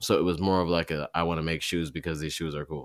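A man's very deep, low voice with an American accent and fairly even intonation, on a very clean recording with a silent background. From Michigan, US. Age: 30s. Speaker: marathon runner and podcaster. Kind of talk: casual chat. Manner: halting, many fillers.

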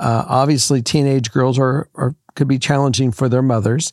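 A man's medium-pitched voice with ordinary pitch variation, a dry, close sound with no echo and a very clean recording with a silent background. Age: 60s. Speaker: guest co-host, host's father. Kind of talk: casual chat. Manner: halting.

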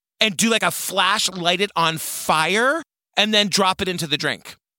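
Raising and projecting his voice, a man speaks at a moderate pace with a high pitch and a bright, sharp tone, the sound dry and close with no echo. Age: 40s. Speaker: true crime podcaster. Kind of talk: casual chat.

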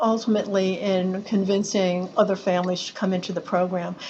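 A woman's medium-pitched voice moves at a moderate pace. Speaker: claims director, lawyer. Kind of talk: casual interview chat. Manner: hesitant, halting.

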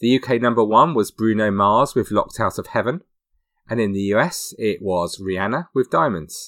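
A man speaks with a British accent at a medium pitch and a moderate pace. The recording is very clean, with a silent background and a dry, close sound with no echo. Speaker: true crime podcast host. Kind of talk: scripted narration.

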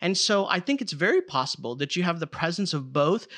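Over a quiet background, a man talks at a fairly quick pace in a bright, sharp, animated tone with lively intonation. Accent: Chicago. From Chicago, US. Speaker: theologian. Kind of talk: casual chat.

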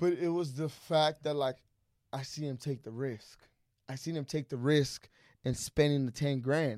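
In a very clean recording with a silent background, a man with a fairly high pitch speaks at a moderate pace. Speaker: podcast guest, entrepreneur and mentor. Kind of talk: casual chat. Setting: studio. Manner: loud; animated.

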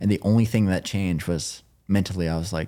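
A man's very deep, low voice with a dark, mellow tone and an American accent, in a very clean recording with a silent background. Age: 20s. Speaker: endurance athlete, record holder. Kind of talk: casual chat.

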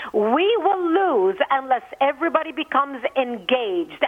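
Noticeable background noise beneath lively intonation. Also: woman. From Lebanon. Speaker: activist, organization founder. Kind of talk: interview. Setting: phone call.

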